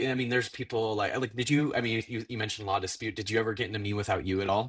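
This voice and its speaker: On a very clean recording with a silent background, a man with an American accent talks at a very fast pace, his medium pitch showing ordinary variation. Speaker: podcast host. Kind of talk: casual chat. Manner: halting, many fillers and repeats.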